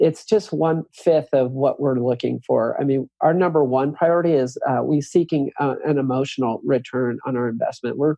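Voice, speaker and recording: In an ordinary speaking voice, a man with a fairly high pitch talks at a moderate pace with hardly any pauses and ordinary pitch variation. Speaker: real estate developer. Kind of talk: podcast interview answer.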